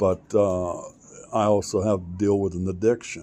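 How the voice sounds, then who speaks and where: A man's fairly low voice with an American accent, fairly slow and fairly even in intonation. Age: 60s. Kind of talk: personal monologue vlog. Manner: halting, many fillers.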